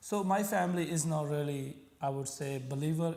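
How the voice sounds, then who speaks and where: There is audible room echo as a man speaks in a Punjabi accent. His pitch is fairly high and his pace moderate. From Pakistan. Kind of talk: interview. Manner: halting.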